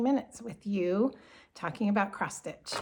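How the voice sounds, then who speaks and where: Her voice is somewhat breathy, with medium pitch and ordinary pitch variation. The woman talks at a moderate pace. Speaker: cross stitch designer and craft vlogger. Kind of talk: casual vlog talk. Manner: casual, with fillers.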